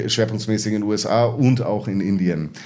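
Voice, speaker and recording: In a room with audible echo, a man speaks at a medium pitch and a moderate pace. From Munich, Bavaria. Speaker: management consultant. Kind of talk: interview. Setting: studio, in person. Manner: hesitant, many filler sounds.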